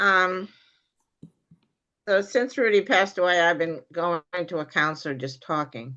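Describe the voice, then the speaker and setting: A woman with a fairly low pitch and a bright, sharp tone speaks at a moderate pace with lively intonation. She leaves long, frequent pauses. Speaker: class participant. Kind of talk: class discussion.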